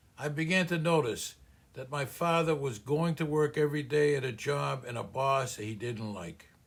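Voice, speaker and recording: A man in a Boston accent speaks at a moderate pace with a fairly high pitch. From US Northeast, Boston (Cambridge). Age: 80s+. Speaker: small business coach. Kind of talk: personal story narration.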